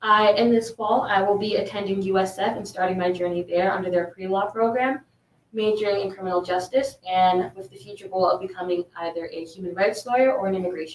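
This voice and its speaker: At a very fast pace, a woman speaks at a medium pitch with fairly even intonation and big swings in loudness. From Sioux Falls, South Dakota. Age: young. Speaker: panelist, student. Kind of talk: panel discussion.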